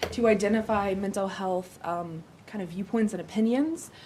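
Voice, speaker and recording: A woman talks at a fairly high pitch. Her intonation stays fairly even. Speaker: city mental health program coordinator. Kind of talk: presentation at a council meeting.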